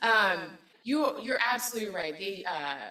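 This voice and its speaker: Noticeable background noise sits behind a woman speaking in a fairly high voice. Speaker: city government manager presenting budget. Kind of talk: public meeting budget presentation. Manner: halting, many fillers.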